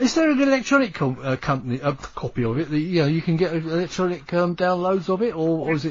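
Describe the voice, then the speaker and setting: Over noticeable background noise, a man with a high pitch for a man rushes at a very fast pace with hardly any pauses and lively intonation. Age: 70s. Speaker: radio host. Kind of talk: radio interview.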